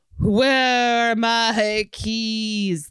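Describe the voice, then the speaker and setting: A put-on character voice is pitched fairly high. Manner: wandering, searching for lost things.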